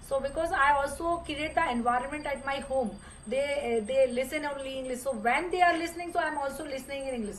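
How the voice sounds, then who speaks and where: In a room with audible echo, a woman with an Indian accent talks at a very fast pace and a high pitch. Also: ordinary pitch variation. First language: Hindi. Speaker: English learner. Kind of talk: casual conversation practice. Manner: halting, many fillers.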